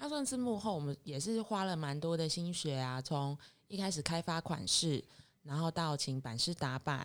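A woman at a moderate pace with ordinary pitch variation, in a very clean recording with a silent background. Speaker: clothing designer. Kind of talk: interview chat.

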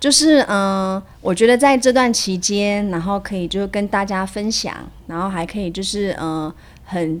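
Her intonation lively, a woman speaks at a moderate pace with a medium pitch. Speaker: dance teacher. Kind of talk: casual interview chat.

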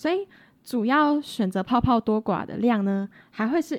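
With lively intonation and a fairly high pitch, a woman speaks at a fairly slow pace in a plain, everyday voice. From rural Taiwan. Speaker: podcast co-host, cosmetics student. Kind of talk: casual educational chat.

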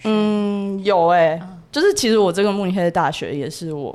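A woman's ordinary speaking voice, medium in pitch, with ordinary pitch variation and a moderate pace. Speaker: university student abroad. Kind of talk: casual interview chat.

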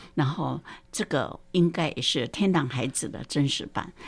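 Very clean recording, silent background. A woman with a very deep, low pitch talks at a fairly slow pace with lively intonation. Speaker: retired primary school teacher. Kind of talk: film commentary.

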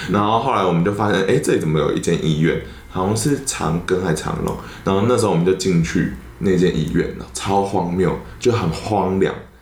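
Fairly quick, lively speech with audible room echo and noticeable background noise. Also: man, very deep, low pitch for a man. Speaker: podcaster. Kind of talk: casual chat.

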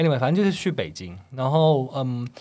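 The pitch of this man's voice is fairly high. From Taiwan. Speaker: salesperson working abroad. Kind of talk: casual chat.

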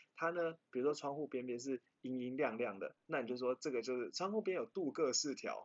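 Speaking fairly quickly with hardly any pauses, a man with a fairly high voice and a Taiwanese accent shows ordinary pitch variation. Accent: Taiwanese-accented English words. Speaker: car podcast host. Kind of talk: casual chat.

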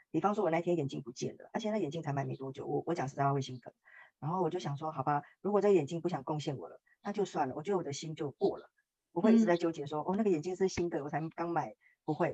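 Her pitch is fairly low with ordinary pitch variation, in a dark, mellow tone. This woman speaks at a very fast pace. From Taiwan. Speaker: workshop participant sharing testimony. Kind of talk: testimony interview.

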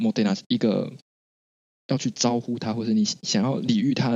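This man's medium-pitched voice moves through very wide pitch swings. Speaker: podcast co-host. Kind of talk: casual chat.

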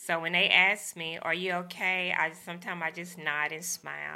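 In a Southern US accent, a woman with a fairly low, bright, sharp voice and vocal fry talks with hardly any pauses, her intonation monotone and flat but her loudness swinging widely. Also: very clean recording, silent background. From US South, rural Arkansas. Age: 50s. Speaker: teacher and brain surgery survivor. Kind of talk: interview, personal testimony.

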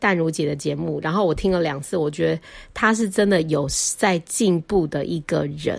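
Lively intonation runs through a plain, everyday voice that keeps a moderate pace. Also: woman. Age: 40s. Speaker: podcast host, stay-at-home mother. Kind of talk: casual solo monologue.

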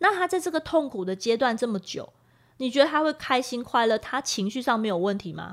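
Pitch swings very widely while the words come at a fairly quick clip. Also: woman, high pitch for a woman. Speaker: podcast host. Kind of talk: casual chat. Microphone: new individual microphone.

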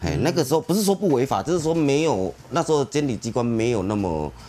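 Dark and mellow in tone, this man's medium-pitched voice has vocal fry. He talks at a fairly quick pace with very wide pitch swings. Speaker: car club forum moderator. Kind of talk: casual chat. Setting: on location.

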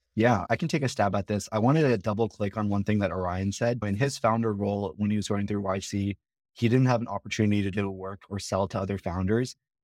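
The speech runs at a very fast pace, with a dry, close sound, no echo and a very clean, silent background. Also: man. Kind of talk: casual interview chat.

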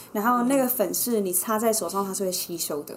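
There is noticeable background noise. The intonation is lively. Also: woman. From Taiwan. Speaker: entrepreneur, former New York club worker. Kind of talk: casual chat.

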